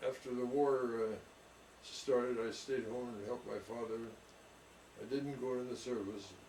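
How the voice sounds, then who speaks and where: The speech, in an American accent, is monotone and flat at a moderate pace, with long, frequent pauses. Audible room echo and noticeable background noise fill the recording. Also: man, medium pitch for a man. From California, San Jose. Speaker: orchardist. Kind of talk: oral history interview.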